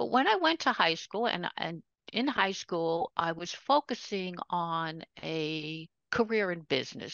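With an American accent, a woman speaks in an unremarkable speaking voice, fairly low in pitch and with lively intonation. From New York City (Queens). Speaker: retired educator and author. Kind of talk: interview conversation.

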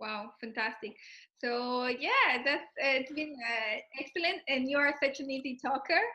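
With a raised, projected voice and a bright, sharp tone, a woman speaks at a moderate pace in a high pitch. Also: ordinary pitch variation. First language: Spanish. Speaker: podcast host, product owner. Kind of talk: casual interview. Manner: halting.

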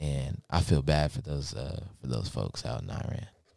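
A man speaks with a very deep, low pitch and vocal fry. His pitch varies in an ordinary way. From Lexington, Kentucky. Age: 18. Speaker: student podcast co-host. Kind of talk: casual chat.

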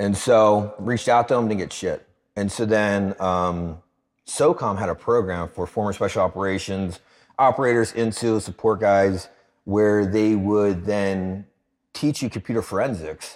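An unremarkable speaking voice from a man with an American accent comes across fairly low and fairly slow, with fairly even intonation, on a very clean recording with a silent background. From Philadelphia, US. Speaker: anti-trafficking charity founder and army veteran. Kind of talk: casual interview.

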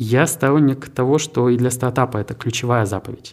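A man with an ordinary speaking voice, medium in pitch, at a fairly quick pace with ordinary pitch variation. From Siberia, Krasnoyarsk. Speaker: tech park director. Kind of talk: interview.

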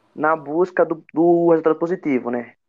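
With fairly even intonation, a man speaks slowly-ish at a fairly high pitch and a fairly slow pace. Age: 20s. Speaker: futsal performance analyst. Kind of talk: podcast interview.

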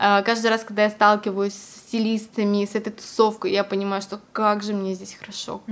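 A woman at medium pitch, monotone and flat in intonation, with hardly any pauses. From Siberia, Russia. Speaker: fashion model and stylist. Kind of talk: casual interview chat.

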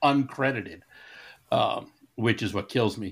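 This very clean recording has a silent background. A man speaks in an ordinary speaking voice at a medium pitch. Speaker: podcast co-host. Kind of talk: casual chat.

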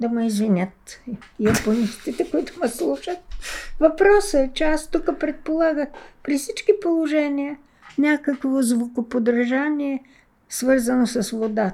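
A woman speaks at a fairly slow pace in a high voice with a dark, mellow tone. Her intonation is lively. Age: 80s+. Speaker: veteran literary translator from Chinese. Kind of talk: interview conversation. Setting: at her home.

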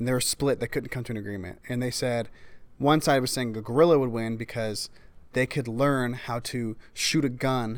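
Speaking at a moderate pace, a man has an ordinary speaking voice at a medium pitch. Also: very clean recording, silent background. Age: young. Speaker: podcast host. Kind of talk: casual interview chat.

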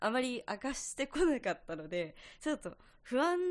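Very wide pitch swings come through on a very clean recording with a silent background. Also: woman. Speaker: podcast host, music student. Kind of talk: casual monologue. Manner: fast.

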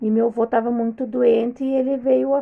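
A woman's fairly high voice at a moderate pace. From southern Brazil, Rio Grande do Sul. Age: 40s. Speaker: host's mother-in-law, homemaker. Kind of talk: casual interview.

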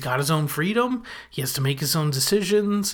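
An unremarkable speaking voice from a man, with lively intonation at a fairly slow pace, in a very clean recording against a silent background. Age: 30s. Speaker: podcast host. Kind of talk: solo episode recap. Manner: casual, conversational.

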